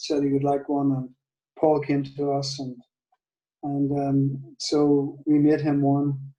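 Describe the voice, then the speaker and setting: Here a man speaks very slowly in a Northern Irish accent. His tone is dark and mellow, and his pitch is fairly high for a man. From Northern Ireland. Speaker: guitar maker. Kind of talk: testimony interview. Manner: halting, with many fillers and repeats.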